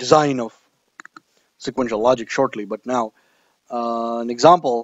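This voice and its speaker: Against a quiet background, a man talks at a moderate pace with ordinary pitch variation and a dry sound with no echo. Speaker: instructor. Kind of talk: lecture. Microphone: lapel.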